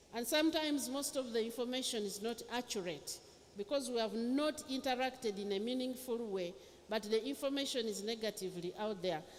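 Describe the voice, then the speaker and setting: A woman talks at a fairly quick pace in a fairly high pitch with ordinary pitch variation. Noticeable background noise runs behind her. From Uganda. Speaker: government minister. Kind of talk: speech.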